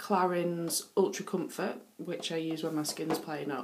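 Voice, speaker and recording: Audible room echo follows a woman with a northern English accent whose fairly low voice keeps a fairly even intonation. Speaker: beauty vlogger. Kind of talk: casual show-and-tell vlog. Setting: bathroom. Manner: hesitant, many fillers.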